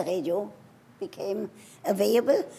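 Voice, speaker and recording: Here a woman speaks with a German accent at a medium pitch. Her intonation is lively. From Germany. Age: 80s+. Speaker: sex therapist and educator. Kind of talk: award acceptance speech.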